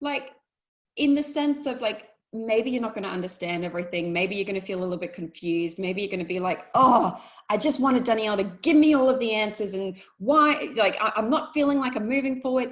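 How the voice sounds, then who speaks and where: She speaks at a fairly quick pace, her fairly high voice carrying lively intonation. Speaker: life coach. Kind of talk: webinar talk. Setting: online webinar. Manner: fast.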